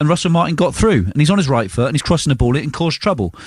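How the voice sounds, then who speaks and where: Fairly high in pitch and somewhat breathy, a man talks at a very fast pace. His intonation is lively. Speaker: football pundit. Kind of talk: radio phone-in analysis.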